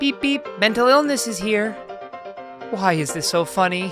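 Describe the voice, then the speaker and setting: Over music in the background, a woman with a medium-pitched voice makes very wide pitch swings. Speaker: voice actor. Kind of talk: comedic narration of social media posts.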